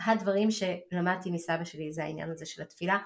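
Her voice, a woman's, sits at a medium pitch with ordinary pitch variation. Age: 40s. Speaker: naturopath and podcast host. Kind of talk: personal podcast monologue. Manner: halting.

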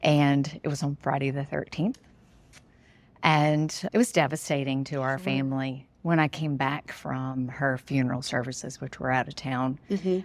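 A woman with a Southern US accent speaks in a very deep, low pitch and fairly even intonation. The recording is very clean, with a silent background. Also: moderate pace. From Mississippi. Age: 50s. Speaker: runner and teacher. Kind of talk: interview.

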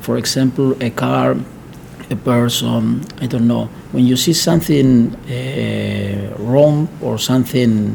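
Noticeable background noise runs under the speech. A man talks at a very slow pace. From Argentina. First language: Spanish. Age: 40s. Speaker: plastic surgeon. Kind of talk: interview. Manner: halting.

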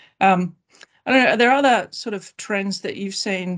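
A woman speaks in a normal speaking voice at medium pitch, with fairly even intonation over a quiet background. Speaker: class actions lawyer. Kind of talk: professional panel discussion.

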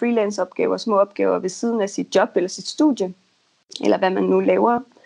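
Against a quiet background, a woman talks. Her pace is moderate. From Denmark, North Jutland. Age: 20s. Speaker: freelance copywriter. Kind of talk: interview. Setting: Skype call. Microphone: choppy connection.

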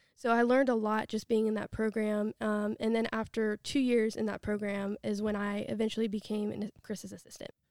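In an American accent, the speaker talks at a fairly quick pace with monotone, flat intonation, recorded in a dry, close sound with no echo. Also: woman, fairly high pitch for a woman. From US, western Pennsylvania (near Pittsburgh). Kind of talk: testimony interview.

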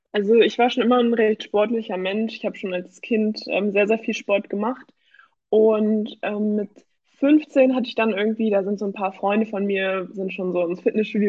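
A woman talks in an ordinary speaking voice at a medium pitch. Her pace is moderate and her intonation fairly even. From Germany, Hamburg. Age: 20s. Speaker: amateur bodybuilder. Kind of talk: casual interview.

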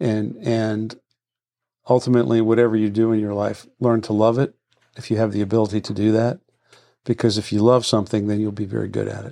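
Against a quiet background, a man with a fairly low pitch talks at a fairly quick pace with fairly even intonation in a plain, everyday voice. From Washington DC area. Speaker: real estate broker. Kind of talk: casual chat.

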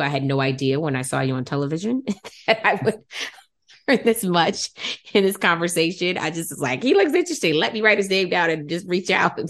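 A woman's fairly low voice with an American accent, lively intonation, and a plain, everyday voice. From Detroit, Michigan. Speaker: podcast host and genealogist. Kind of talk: casual interview.

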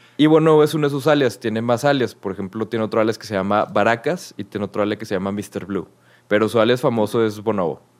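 In a Mexican accent, a man talks at a very fast pace. His pitch is medium, with ordinary variation. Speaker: podcast co-host, music presenter. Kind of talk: casual chat. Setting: remote recording.

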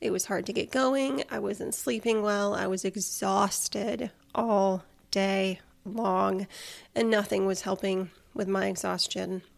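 On a very clean recording with a silent background, a woman with an unremarkable speaking voice talks at a fairly slow pace, her medium pitch showing ordinary pitch variation. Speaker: health podcast host and personal trainer. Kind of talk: personal health story monologue.

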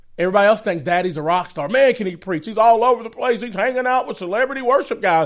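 A high-pitched man with a Southern US accent, talking at a very fast pace with hardly any pauses. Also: lively intonation. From Georgia, US (Atlanta area). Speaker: evangelist, ministry founder. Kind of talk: casual interview.

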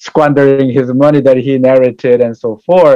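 Recorded with a dry, close sound and no echo, the voice has a dark, mellow tone and a Korean accent. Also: man. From South Korea. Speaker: pastor and church community services director. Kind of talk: interview. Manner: halting.

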